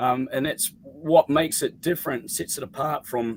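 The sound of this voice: Speaking at a moderate pace, a man uses a medium pitch with ordinary pitch variation.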